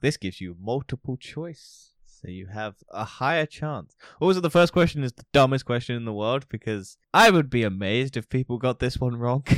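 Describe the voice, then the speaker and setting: The recording is very clean with a silent background. A man of medium pitch speaks at a moderate pace with lively intonation and hardly any pauses. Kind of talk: casual chat. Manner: irreverent, sarcastic.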